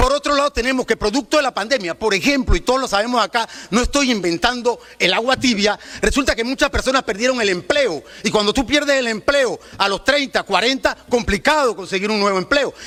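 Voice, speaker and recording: A man with an extremely high voice speaks in a raised, projected, animated way at a fairly quick pace, with ordinary pitch variation and a dry, close sound with no echo. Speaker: student union representative. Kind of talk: public speech on pension reform. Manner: fast.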